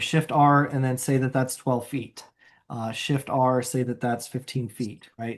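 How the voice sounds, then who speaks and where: A moderate pace over a quiet background. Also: man. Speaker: software trainer. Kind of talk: tutorial. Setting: video call.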